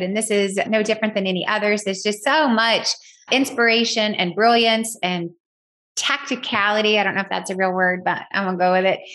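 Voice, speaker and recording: Speaking at a fairly quick pace, a woman with a strong Southern US accent talks at a medium pitch. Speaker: podcast host. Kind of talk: casual recap monologue. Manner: animated.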